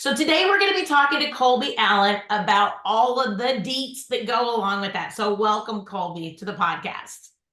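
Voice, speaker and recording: A Southern US accent with lively intonation and hardly any pauses. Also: woman, fairly high pitch for a woman. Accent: Southern drawl, fast but clearly pronounced. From Memphis, Iowa, Wisconsin, then Dallas from age 15. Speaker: podcast host and insurance agency owner. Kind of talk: podcast interview. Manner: fast; loud, hard consonants.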